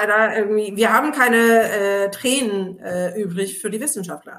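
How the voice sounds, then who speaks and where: Using an ordinary speaking voice, a woman talks at a moderate pace with a fairly high pitch. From Turkey. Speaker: labour sociologist. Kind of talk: casual chat.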